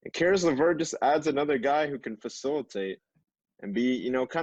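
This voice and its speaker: A man talks fairly quickly while the background stays quiet. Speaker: podcast co-host. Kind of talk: casual chat. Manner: monotone.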